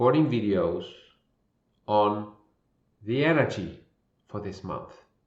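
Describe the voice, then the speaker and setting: A man speaks at a very slow pace in a calm tone, his pitch swinging very widely. There is audible echo from the room. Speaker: spiritual intuitive coach. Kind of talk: spiritual monologue. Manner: slow with long pauses.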